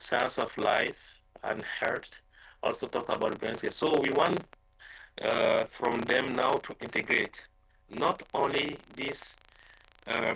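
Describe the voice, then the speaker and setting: Man with a non-native accent, very slow pace and long, frequent pauses. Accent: non-native English speaker, self-described. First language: French. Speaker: conference presenter, researcher. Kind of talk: Q&A answer at conference session. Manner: halting, many fillers.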